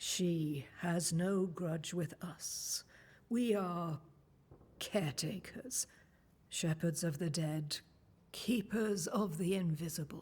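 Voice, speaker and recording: Someone in a put-on character voice at a middle pitch talks at a very slow pace, broken by long, frequent pauses. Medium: video game. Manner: calm, cryptic.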